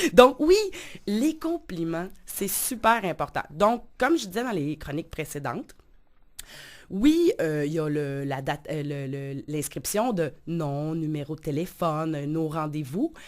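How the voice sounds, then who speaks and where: A woman at a very slow pace with fairly low pitch, lively intonation and big swings in loudness, on a very clean recording with a silent background. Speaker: life coach and radio columnist. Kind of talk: radio column.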